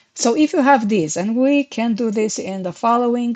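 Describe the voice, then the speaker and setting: Speaking at a moderate pace, a woman with a non-native accent uses a fairly high pitch. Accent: foreign. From Romania. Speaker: SEO consultant. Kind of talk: tutorial.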